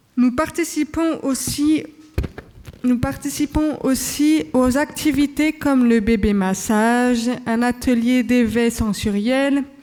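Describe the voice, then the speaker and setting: This woman's voice sits high, with ordinary pitch variation and very even loudness. She talks at a very slow pace over noticeable background noise. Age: 20s. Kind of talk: prepared speech read at a conference. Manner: halting.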